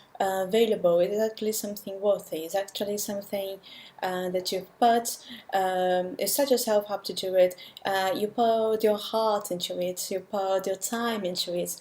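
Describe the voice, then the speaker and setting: A woman's dark, mellow voice at medium pitch, moderate pace and fairly even intonation, on a very clean recording with a silent background. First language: not English. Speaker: language learner vlogger. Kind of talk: vlog monologue.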